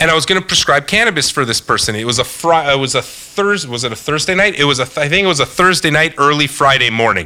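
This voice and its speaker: Speaking at a very fast pace, a man has a Canadian accent. His intonation is lively. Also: fairly high pitch for a man, hardly any pauses. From Canada. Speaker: podcast host. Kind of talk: casual chat.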